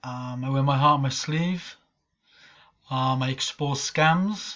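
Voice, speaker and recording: Speaking very slowly, a man with a Welsh accent uses a fairly high pitch and fairly even intonation. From Wales. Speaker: online marketer and scam-exposing vlogger. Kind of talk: casual vlog rant. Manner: casual, hesitant with many ums.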